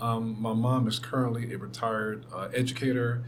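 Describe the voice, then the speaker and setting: There is audible room echo and noticeable background noise as a man with an American accent speaks. His pitch is medium, and his intonation stays fairly even. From Brooklyn, New York and Athens, Georgia. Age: 50s. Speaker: radio program director. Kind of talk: oral history interview. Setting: radio station studio. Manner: halting, many fillers.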